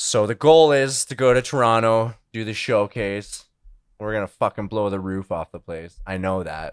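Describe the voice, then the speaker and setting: In a normal speaking voice with a Canadian accent, a man talks at a fairly low pitch with ordinary pitch variation and big swings in loudness, the sound dry and close with no echo on a very clean recording with a silent background. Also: moderate pace. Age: 20s. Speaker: musician. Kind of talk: casual interview chat.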